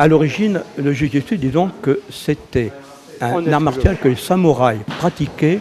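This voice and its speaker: Over noticeable background noise, the speaker talks at a fairly slow pace with lively intonation. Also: man. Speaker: jujitsu instructor. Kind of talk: interview. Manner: hesitant, many fillers.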